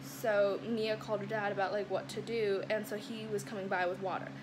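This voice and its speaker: A woman is speaking. Some room echo can be heard. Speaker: lifestyle vlogger. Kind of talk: casual vlog storytelling. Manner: fast; animated.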